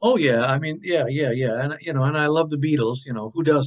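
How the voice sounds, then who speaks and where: This speaker has an Upper Midwest accent and ordinary pitch variation. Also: man. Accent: Upper Midwest American. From Michigan (Kalamazoo). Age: 70s. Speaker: singer-songwriter. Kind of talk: interview. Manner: casual, rambling with fillers.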